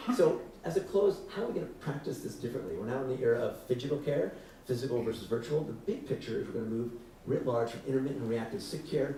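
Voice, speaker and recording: The man talks very fast with lively intonation at a medium pitch. There is audible room echo and noticeable background noise. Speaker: physician and health tech founder. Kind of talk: keynote talk. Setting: stage with audience.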